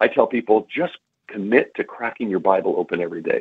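Here is a man with a normal speaking voice. He talks at a fairly quick pace in a fairly low pitch. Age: 40s. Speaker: author. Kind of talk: casual chat.

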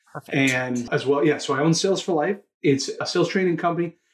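With a Canadian accent, a man speaks in a plain, everyday voice with ordinary pitch variation. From Toronto, Canada. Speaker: sales training CEO. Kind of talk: interview conversation.

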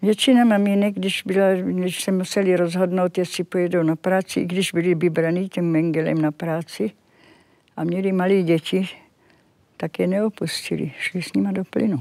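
A woman at medium pitch and moderate pace, dark and mellow in tone, the sound dry and close with no echo on a very clean recording with a silent background. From Czechoslovakia. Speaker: Holocaust survivor. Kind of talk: interview testimony. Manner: halting.

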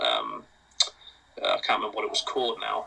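A man with an English accent over noticeable background noise. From England. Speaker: podcast guest. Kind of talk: casual chat.

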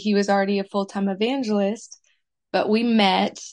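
A woman talks in a plain, everyday voice at a medium pitch. Her intonation stays fairly even over a quiet background. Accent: American. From US Midwest, Minnesota. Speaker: author, singer and evangelist's wife. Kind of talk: casual interview chat.

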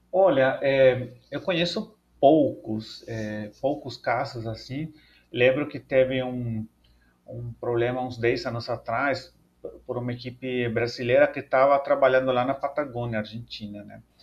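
A man at medium pitch talks at a fairly slow pace. His intonation is fairly even, but his loudness swings a lot. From El Salvador. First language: Spanish (speaking Portuguese). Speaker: paleontologist and professor. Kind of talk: interview. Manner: halting, many fillers.

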